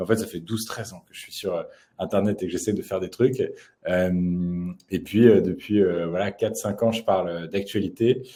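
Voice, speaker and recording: A dark, mellow tone with big swings in loudness, fairly even intonation and a moderate pace, on a very clean recording with a silent background. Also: man, fairly low pitch for a man. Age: 20s. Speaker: YouTube journalist. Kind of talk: interview. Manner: halting, many fillers.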